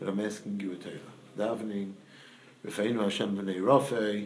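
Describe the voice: A man speaks at a moderate pace, his pitch fairly low and his tone slightly mellow. His intonation stays fairly even, with strong room echo around him.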